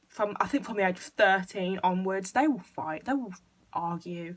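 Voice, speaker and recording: This woman speaks with an English accent. Her pitch variation is ordinary. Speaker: YouTuber. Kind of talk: casual chat. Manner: fast.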